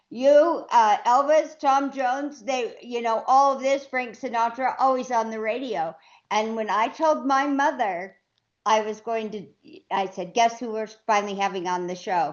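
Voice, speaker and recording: In a normal speaking voice, a woman talks at a fairly slow pace, her fairly high pitch carried by lively intonation. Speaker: podcast co-host. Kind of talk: interview question.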